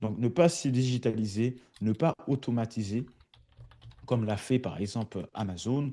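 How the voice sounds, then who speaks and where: Against a quiet background, a man speaks at a medium pitch in a dark, mellow tone with ordinary pitch variation. His pace is fairly slow, with long, frequent pauses. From France. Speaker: automation consultant. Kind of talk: webinar presentation. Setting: online webinar. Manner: hesitant, many fillers.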